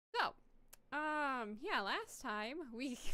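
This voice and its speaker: A woman speaks loudly in a bright, sharp tone with lively intonation. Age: adult. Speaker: VTuber game streamer. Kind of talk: casual live-stream chat. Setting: home room with door closed.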